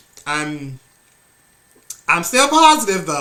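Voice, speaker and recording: A man's voice with noticeable background noise. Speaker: movie reviewer. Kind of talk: casual review vlog. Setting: at home. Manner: casual, filler-heavy.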